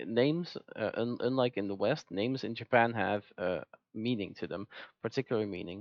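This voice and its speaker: Speech moves at a moderate pace with a non-native accent. The pitch rises and falls in an ordinary way. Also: man, medium pitch for a man. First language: not English. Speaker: gaming commentator. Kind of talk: video commentary. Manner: halting; animated.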